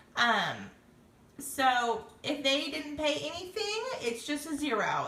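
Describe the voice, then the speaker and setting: A woman's high, raised and projected voice with very wide pitch swings and audible room echo. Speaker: direct sales consultant. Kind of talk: tutorial. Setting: Facebook live video stream.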